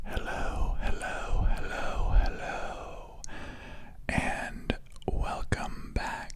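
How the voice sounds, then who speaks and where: Whispering in a soothing tone, a man speaks at a very slow pace over noticeable background noise. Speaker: video editor. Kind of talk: ASMR whisper ramble while editing video. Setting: close-mic home recording. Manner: whispered, soothing.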